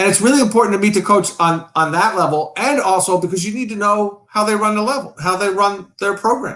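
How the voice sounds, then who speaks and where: Loud and at a fairly quick pace, a man with a New York accent speaks at a high pitch with ordinary pitch variation. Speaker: riding coach. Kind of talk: casual chat. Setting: live stream. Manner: boisterous.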